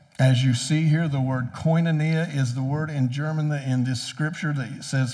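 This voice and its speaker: The speech comes at a fairly slow pace with fairly even intonation and audible room echo. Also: man, fairly high pitch for a man. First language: English (speaking German). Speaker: preacher. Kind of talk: sermon.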